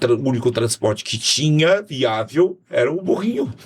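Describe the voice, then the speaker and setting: Noticeable background noise sits behind this man. He speaks at a moderate pace and a medium pitch. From Brazil, Fortaleza, Ceará. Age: 60s. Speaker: pastor and politician. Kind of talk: casual podcast interview. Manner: halting, many repetitions.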